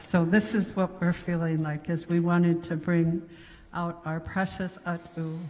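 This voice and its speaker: The delivery is monotone and flat, somewhat breathy, and at a fairly slow pace. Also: woman. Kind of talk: ceremonial speech.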